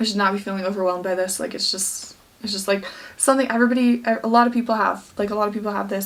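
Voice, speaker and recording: Noticeable background noise sits behind a woman speaking at a very fast pace. Her pitch is medium and her intonation fairly even. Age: 20s. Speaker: fitness vlogger, bikini competitor. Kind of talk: vlog. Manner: halting.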